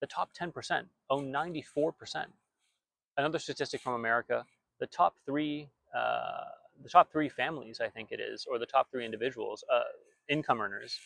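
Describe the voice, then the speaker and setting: A man at a fairly quick pace with long, frequent pauses, in a dry, close sound with no echo. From outside the US. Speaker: bitcoin commentator. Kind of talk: monologue. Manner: halting, many fillers and restarts.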